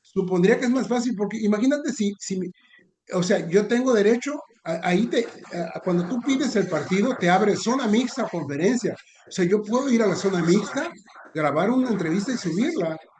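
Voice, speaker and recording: This man's voice sits high in pitch. His intonation is lively and his pace fairly quick. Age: 60s. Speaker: sports journalist. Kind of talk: casual chat. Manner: halting.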